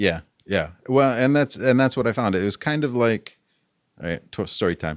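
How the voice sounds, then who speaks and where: A man with an ordinary speaking voice talks at a moderate pace, medium in pitch with lively intonation. The background is quiet. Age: 30s. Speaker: English teacher and podcast co-host. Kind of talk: casual chat.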